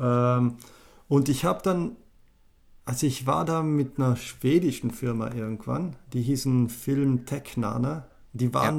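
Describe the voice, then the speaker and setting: Recorded very cleanly against a silent background, a man speaks at a fairly slow pace with long, frequent pauses and ordinary pitch variation. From South Tyrol, Italy (German-speaking). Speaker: animator and app designer. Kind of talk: casual interview chat.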